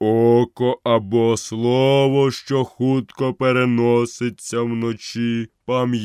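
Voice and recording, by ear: The clip features reading aloud in a natural voice. Behind it, the background is quiet.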